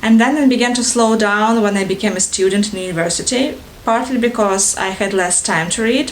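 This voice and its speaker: A woman with a Russian accent speaks at a moderate pace and a fairly high pitch. Noticeable background noise and audible room echo come through. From Ukraine, Odessa (Russian-speaking south). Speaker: book vlogger. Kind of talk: casual vlog introduction. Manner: halting, many fillers.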